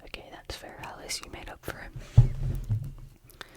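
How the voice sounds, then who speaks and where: A voice speaks in a whisper. Clear background noise is present throughout. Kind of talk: ASMR whispered bedtime reading. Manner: whispered.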